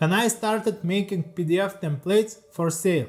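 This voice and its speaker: With an Eastern European accent, this man talks at a moderate pace in a high pitch. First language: Lithuanian. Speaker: leathercraft artisan and YouTuber. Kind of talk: scripted narration. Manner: reading from a teleprompter.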